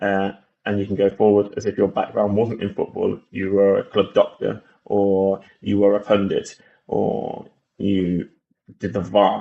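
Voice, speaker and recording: Fairly slow speech from a man with an English accent. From England. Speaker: gaming YouTuber. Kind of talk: gameplay walkthrough commentary. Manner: casual, hesitant with fillers.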